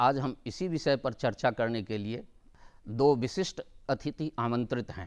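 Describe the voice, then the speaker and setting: With a Bihar accent, a man speaks at a medium pitch with lively intonation. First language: Maithili (speaking Hindi). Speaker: TV host. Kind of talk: TV panel discussion. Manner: formal.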